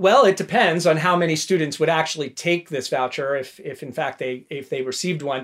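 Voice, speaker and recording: At a fairly quick pace with hardly any pauses, a man talks at a fairly high pitch with ordinary pitch variation. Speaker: education policy writer. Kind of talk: interview. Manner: repeats words, somewhat halting.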